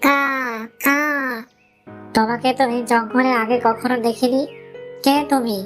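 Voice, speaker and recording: A cartoonish character voice, female-sounding and high in pitch, at a moderate pace with faint music in the background. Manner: caws while talking.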